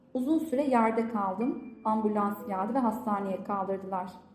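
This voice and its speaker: Through audible room echo and noticeable background noise, a woman speaks at a fairly slow pace with a fairly high pitch. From Turkey, Gaziantep. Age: 30s. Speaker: professional coach. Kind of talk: personal testimony in interview.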